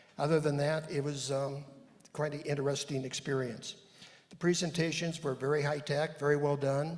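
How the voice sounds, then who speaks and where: A fairly high male voice in a monotone, flat intonation with audible room echo. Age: 70s. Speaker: church member presenting on a conference. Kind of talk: panel presentation to congregation. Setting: church service with audience, handheld mic. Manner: halting, with many fillers.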